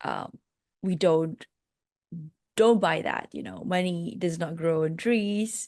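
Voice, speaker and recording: A woman with a Malaysian accent at medium pitch and a fairly slow pace, with ordinary pitch variation, in a dry, close sound with no echo and a quiet background. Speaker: life coach and podcast host. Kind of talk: interview.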